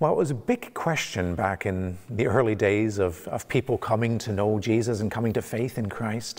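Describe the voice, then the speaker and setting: Here a man speaks at a fairly low pitch. His pitch varies in an ordinary way. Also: quiet background. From Canada. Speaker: pastor. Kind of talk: sermon. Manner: halting, many fillers and repeats. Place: church. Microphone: lapel.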